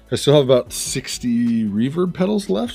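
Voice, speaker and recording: Speaking in a somewhat breathy voice, a man lets his pitch swing very widely. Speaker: music gear YouTuber. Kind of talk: studio tour. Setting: home recording studio. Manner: casual, hesitant with fillers.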